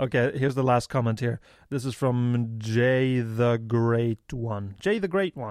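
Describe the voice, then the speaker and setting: The speaker talks at a fairly slow pace with a Norwegian accent and ordinary pitch variation. The recording is very clean, with a silent background. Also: man, medium pitch for a man. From Norway. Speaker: podcast co-host. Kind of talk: casual comedic banter.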